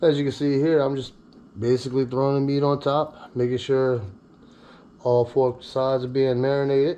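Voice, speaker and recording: In a dark, mellow tone, a man speaks at medium pitch and a moderate pace with monotone, flat intonation. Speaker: home cooking video host. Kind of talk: cooking tutorial with casual chat. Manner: casual, joking.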